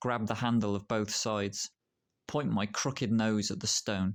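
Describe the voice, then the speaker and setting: This man has a fairly low pitch and fairly even intonation, speaking at a fairly slow pace. The recording is very clean, with a silent background. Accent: West Midlands. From Shropshire, England. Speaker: poet. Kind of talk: spoken word poetry reading.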